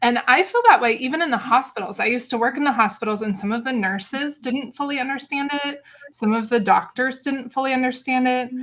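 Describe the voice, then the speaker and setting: A woman talks at a fairly quick pace with ordinary pitch variation, in an ordinary speaking voice. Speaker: speech-language pathologist. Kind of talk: interview answer. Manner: casual, conversational.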